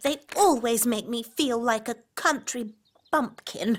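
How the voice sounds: This is a cartoonish character voice that sounds female. It has a fairly high pitch and a fairly slow pace.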